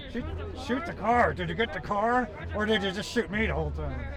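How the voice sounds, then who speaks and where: A man with an American accent at a moderate pace over noticeable background noise. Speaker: car show YouTuber. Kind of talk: casual talk to camera. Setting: outdoors.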